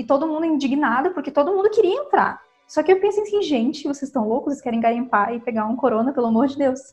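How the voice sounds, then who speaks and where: Talking at a very fast pace with hardly any pauses, a woman uses a high pitch. Her intonation is lively. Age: 20s. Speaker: fashion student and thrift store curator. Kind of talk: casual chat.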